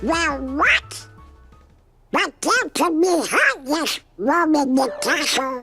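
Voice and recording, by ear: A cartoonish character voice speaks at a very slow pace over faint music in the background.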